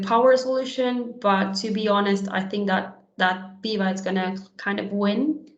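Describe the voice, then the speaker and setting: Amid audible room echo, a woman speaks at a medium pitch and a fairly slow pace with fairly even intonation. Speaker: conference speaker on HR software. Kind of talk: webinar presentation and Q&A.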